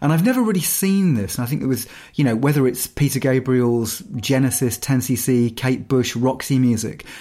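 In a very clean recording with a silent background, a man with a dark, mellow tone speaks at a moderate pace, hardly pausing and keeping his loudness very even. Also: medium pitch for a man, ordinary pitch variation. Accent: English. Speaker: musician and podcast co-host. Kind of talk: casual chat.

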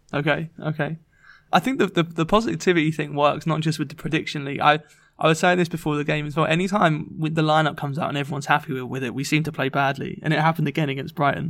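With an English accent, a man talks at a very fast pace in a fairly high pitch and fairly even intonation. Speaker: football podcast co-host. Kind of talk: casual sports discussion podcast.

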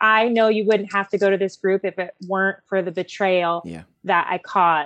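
At a moderate pace with hardly any pauses, a woman speaks in a flat monotone at medium pitch, recorded dry and close with no echo. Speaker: associate director of groups department, group leader. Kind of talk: casual podcast interview.

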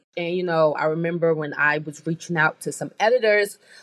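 A woman speaks at a moderate pace in an ordinary speaking voice. Her fairly low pitch has ordinary variation. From US Midwest, inner-city Chicago. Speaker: beauty brand co-founder. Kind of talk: interview.

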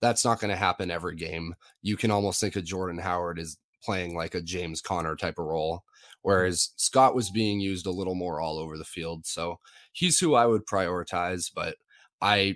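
On a very clean recording with a silent background, a man speaks. His pitch is very deep and low, with fairly even intonation. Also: moderate pace. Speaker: fantasy football analyst. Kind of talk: casual sports analysis chat.

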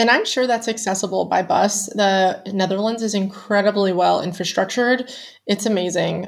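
A woman with a normal speaking voice and an American accent talks at a moderate pace and medium pitch, her loudness very even, on a very clean recording with a silent background. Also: fairly even intonation. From US Pennsylvania. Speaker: travel writer and expat. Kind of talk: casual interview chat.

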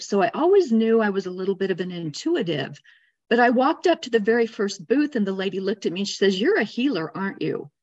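A woman speaks in an ordinary speaking voice with an American accent, at medium pitch and a fairly quick pace, against a quiet background. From Arizona, US. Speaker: energy healer. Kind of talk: interview.

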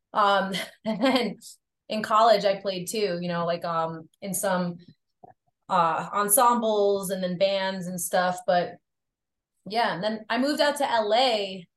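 With a slight Long Island accent, a woman speaks at medium pitch and a very slow pace, with ordinary pitch variation and long, frequent pauses. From Long Island, New York. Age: 30s. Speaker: drummer, model, nutritionist and yoga instructor. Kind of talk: casual interview chat.

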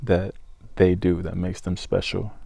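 This speaker has an American accent and a dark, mellow tone, delivering words at a fairly slow pace. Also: man. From Georgia, US. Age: 20s. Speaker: country singer-songwriter. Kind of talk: casual interview chat. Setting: studio. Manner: mature, thoughtful.

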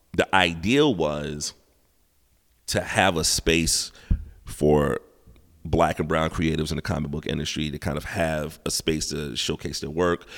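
On a very clean recording with a silent background, a man with an American accent and a very deep, low pitch speaks at a fairly slow pace with fairly even intonation and long, frequent pauses. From South Carolina. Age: 40s. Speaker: hip hop artist and gallery owner. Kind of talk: casual interview chat. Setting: art gallery.

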